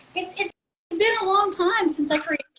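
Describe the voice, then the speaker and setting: A woman with a bright, sharp tone and a slight Southern US accent. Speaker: music community supporter. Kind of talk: casual livestream chat. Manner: hesitant.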